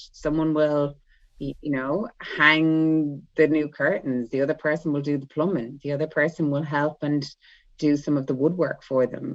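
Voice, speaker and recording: Speaking with an Irish accent, a woman has a very deep, low pitch. Her intonation is monotone and flat, at a moderate pace. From Ireland. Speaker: spiritual guide and light language channeler. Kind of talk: casual chat.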